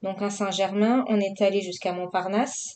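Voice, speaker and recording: A woman with a Marseille accent speaks at a medium pitch in a monotone, flat intonation. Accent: southern French (Marseille). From southern France, Marseille. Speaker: vlogger, adult colouring. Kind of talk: casual vlog chat while colouring. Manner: casual, hesitant with many fillers.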